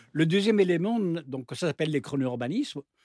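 With an unremarkable speaking voice, a man talks at a moderate pace in a fairly high pitch with lively intonation, recorded very clean and dry, close up with no echo against a silent background. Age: 60s. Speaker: university professor, urban planning expert. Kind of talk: panel discussion.

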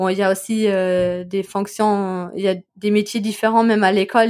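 The recording of this woman is very clean, with a silent background. She speaks in a monotone at a medium pitch, her intonation flat. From Germany, Ruhr area (Bochum). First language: German (speaking French). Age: 20s. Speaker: German expatriate, podcaster and teacher. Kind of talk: interview. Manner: hesitant, many fillers.

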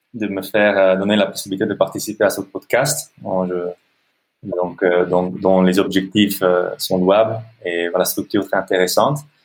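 In an Italian accent, a man speaks at a moderate pace with a fairly low pitch. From Italy. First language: Italian (speaking French). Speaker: NGO director and social entrepreneur. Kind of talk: interview. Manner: halting.

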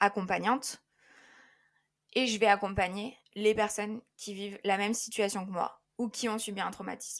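A woman of medium pitch speaks at a moderate pace in a monotone, flat intonation. Her speech has long, frequent pauses. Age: 20s. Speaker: life coach. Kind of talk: interview. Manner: hesitant, many fillers.

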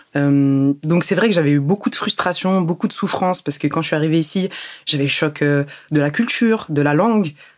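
A woman's very deep, low pitch at a moderate pace, with ordinary pitch variation and very even loudness. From Germany until age 8, then France. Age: young. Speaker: entrepreneur. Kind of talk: interview.

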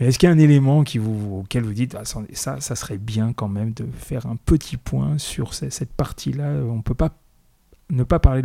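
This man talks at a fairly quick pace with medium pitch and lively intonation. His tone is dark and mellow, somewhat breathy. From France, Paris suburbs. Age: 50s. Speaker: podcast host. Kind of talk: interview. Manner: hesitant, repeats words.

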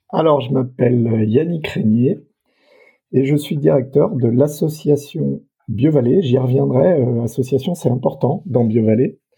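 A man's medium-pitched voice at a very slow pace. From France, Burgundy (Mâcon, Saône-et-Loire). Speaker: association director. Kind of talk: interview. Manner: hesitant, many fillers.

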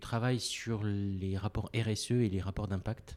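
On a very clean recording with a silent background, a man speaks in a fairly low voice with a dark, mellow tone. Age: 50s. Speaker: business owner. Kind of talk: interview.

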